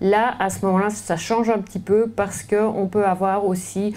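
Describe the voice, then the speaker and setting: Speaking in a Belgian accent, a woman has a dark, mellow tone and fairly even intonation. Her fairly slow delivery comes with audible room echo. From Belgium. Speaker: orthopedic surgeon. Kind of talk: lecture. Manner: hesitant, many fillers and repetitions.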